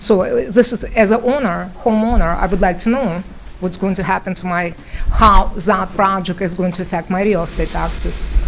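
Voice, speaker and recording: With a non-native accent, a woman talks at a moderate pace and medium pitch, her pitch varying in an ordinary way, amid noticeable background noise. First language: not English. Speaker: local resident at public hearing. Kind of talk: public comment at municipal hearing. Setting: township meeting room, microphone. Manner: halting, many fillers.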